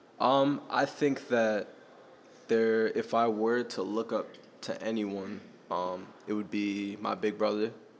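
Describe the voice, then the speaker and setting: At a very slow pace broken by long, frequent pauses, a man speaks at medium pitch with fairly even intonation. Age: young. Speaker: podcast host. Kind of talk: casual chat.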